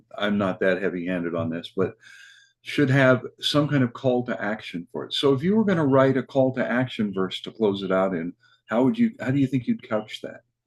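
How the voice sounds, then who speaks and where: Against a quiet background, a man with a normal speaking voice talks at a moderate pace in a medium pitch with lively intonation. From Kansas. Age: 60s. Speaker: open mic show host. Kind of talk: interview.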